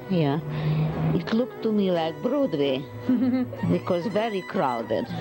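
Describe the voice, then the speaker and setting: A woman talks at a fairly slow pace while clear music plays behind her. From Hungary. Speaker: photographer. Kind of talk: interview answer. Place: home room. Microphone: handheld.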